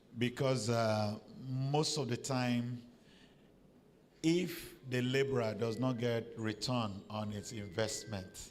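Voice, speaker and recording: Speaking very slowly at a medium pitch, this man is heard with audible room echo. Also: ordinary pitch variation. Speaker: professor. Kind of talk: panel discussion. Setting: conference with audience.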